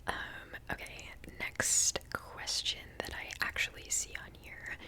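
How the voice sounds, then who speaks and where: A woman whispering with an American accent at a very slow pace, with noticeable background noise. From US Pacific Northwest, Seattle. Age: 20s. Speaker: ASMR creator and genetic counseling student. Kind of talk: Q&A video, casual whispered chat. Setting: at home. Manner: casual with many fillers.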